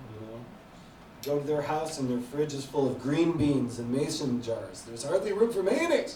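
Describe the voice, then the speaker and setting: The speaker talks at a moderate pace with lively intonation. Noticeable background noise and audible room echo are present. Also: man. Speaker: stand-up comedian. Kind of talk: stand-up. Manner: hesitant, unconfident delivery.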